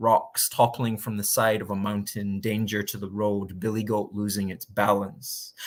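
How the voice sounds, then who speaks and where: With a Scottish accent, a man speaks at a moderate pace and fairly low pitch in a very clean recording with a silent background. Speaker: spoken word poet. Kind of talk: spoken word poetry performance.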